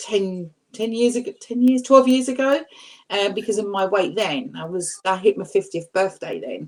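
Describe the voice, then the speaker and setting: An unremarkable speaking voice from a woman, fairly high in pitch, with ordinary pitch variation at a moderate pace. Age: 60s. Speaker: weight-loss YouTuber on a panel. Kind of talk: casual chat.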